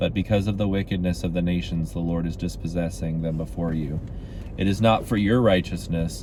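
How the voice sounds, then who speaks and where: A man's very deep, low voice comes through with audible room echo. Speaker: Bible reading video host. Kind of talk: reading aloud; casual chat. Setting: in a car. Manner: loud projecting voice.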